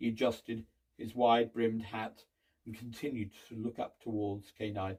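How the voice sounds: The background is quiet as someone reads in a natural reading voice.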